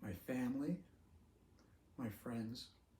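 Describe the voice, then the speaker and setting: A man speaks at a very slow pace in a somewhat breathy voice. His tone is dark and mellow, with audible room echo. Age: 70s. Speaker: retired teacher with ALS sharing his story. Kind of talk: personal video talk.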